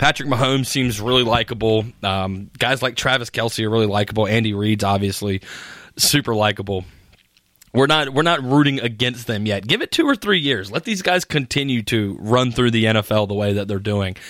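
A normal speaking voice moves at a fairly quick pace with ordinary pitch variation. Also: man, medium pitch for a man. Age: 20s. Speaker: sports radio host. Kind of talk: sports talk monologue.

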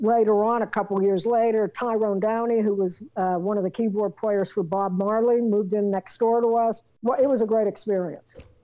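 At a moderate pace and with very even loudness, a speaker with an American accent and a dark, mellow tone talks with hardly any pauses. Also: woman, fairly high pitch for a woman. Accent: East Coast US accent with some Southern tinge. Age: 60s. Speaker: rock singer and drummer. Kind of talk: casual interview. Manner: animated, rambling.

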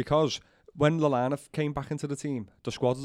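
A man with a Liverpool accent, at a fairly quick pace. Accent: Liverpool Scouse. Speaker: Liverpool fan pundit. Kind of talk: casual football chat.

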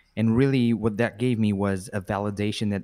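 A plain, everyday voice moves at a moderate pace with fairly even intonation. The very clean recording has a silent background and a dry, close sound with no echo. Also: man. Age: 20s. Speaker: marketing and sales entrepreneur. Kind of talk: casual interview.

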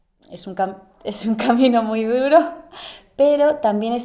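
A woman speaks at a fairly slow pace with a dark, mellow tone. Her pitch varies in an ordinary way. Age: 30s. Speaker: entrepreneur and mother. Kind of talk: casual interview. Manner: halting, many repetitions.

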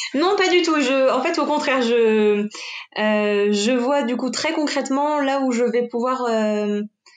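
A woman speaks at a very slow pace in a high pitch with ordinary variation. Her loudness stays very even. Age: 20s. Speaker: project manager. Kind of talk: coaching conversation. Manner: hesitant.

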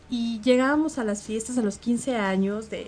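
Noticeable background noise sits behind a woman with a Mexican accent, who talks at a fairly slow pace with ordinary pitch variation. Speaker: radio host. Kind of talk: casual chat. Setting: studio.

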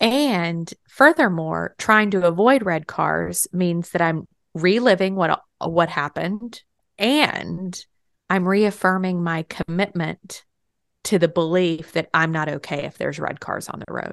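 A woman with an American accent speaks in a plain, everyday voice, fairly low in pitch and at a fairly slow pace, with ordinary pitch variation and big swings in loudness. The sound is dry and close with no echo, over a quiet background. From Texas. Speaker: spiritual podcast co-host. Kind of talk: casual chat.

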